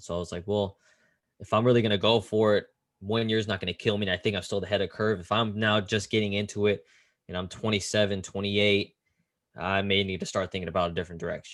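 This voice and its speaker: A man's fairly low voice at a fairly quick pace, in a very clean recording with a silent background. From US West Coast, Silicon Valley, California. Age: 20s. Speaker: basketball assistant coach. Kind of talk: interview. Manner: casual, animated storytelling.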